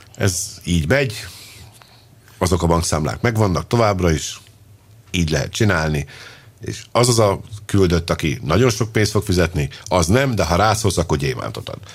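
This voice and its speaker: This man's pitch is very deep and low, and his voice is somewhat breathy. His intonation is lively, broken by long, frequent pauses. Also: moderate pace. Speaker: football podcast host. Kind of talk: casual chat. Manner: animated.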